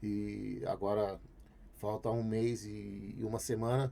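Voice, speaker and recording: This man's voice is fairly low with a dark, mellow tone. His intonation stays fairly even. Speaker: business partner and cancer patient. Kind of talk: casual chat.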